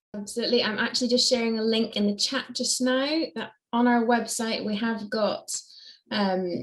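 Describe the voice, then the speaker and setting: With a slight Scottish accent, a woman speaks at a moderate pace in a fairly high pitch with monotone, flat intonation. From Scotland. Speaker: charity staff member. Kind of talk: online Q&A. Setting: video call.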